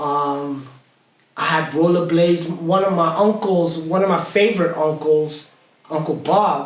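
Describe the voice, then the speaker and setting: Audible room echo carries a man's voice as he speaks fairly slowly in a high pitch with an American accent. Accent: American-sounding. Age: 40s. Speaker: hip hop artist. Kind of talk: casual chat. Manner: animated.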